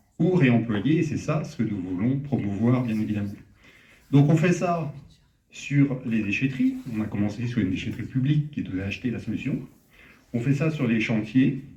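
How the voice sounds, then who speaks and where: A man's somewhat breathy voice with a Parisian accent, a medium pitch and a dark, mellow tone, with long, frequent pauses and audible room echo. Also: ordinary pitch variation, moderate pace. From Paris, France. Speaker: startup founder. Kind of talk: startup pitch. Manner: hesitant, many fillers.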